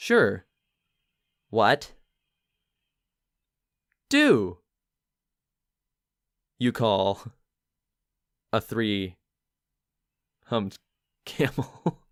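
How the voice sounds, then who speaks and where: A put-on character voice, low and drawling, at a very slow pace with long, frequent pauses. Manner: slow, drawn-out word by word delivery.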